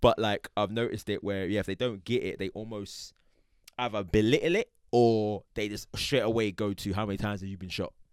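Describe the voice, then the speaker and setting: A man with a London accent, fairly low-pitched and fairly quick, with fairly even intonation on a very clean recording against a silent background. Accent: London Multicultural English. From South London. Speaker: podcast host. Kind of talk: casual chat. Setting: studio.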